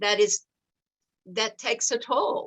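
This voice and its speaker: A woman speaks with an Alabama accent and a bright, sharp tone. Her pitch varies in an ordinary way, and the sound is dry and close with no echo. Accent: Southern US (Alabama). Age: 70s. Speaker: activist and author. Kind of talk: book discussion interview.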